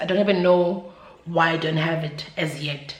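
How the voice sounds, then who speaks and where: A woman speaks with a South African accent in a monotone, flat intonation. Noticeable background noise and audible room echo surround her. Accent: South African, Zulu-speaking. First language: Zulu. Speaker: YouTuber. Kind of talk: casual vlog chat. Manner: hesitant, filler-heavy.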